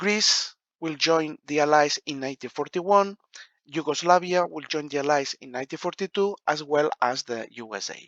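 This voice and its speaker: A man talks at a fairly slow pace. His pitch moves in an ordinary way. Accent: non-native. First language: not English. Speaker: board game rules explainer. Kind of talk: tutorial. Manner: halting, many fillers.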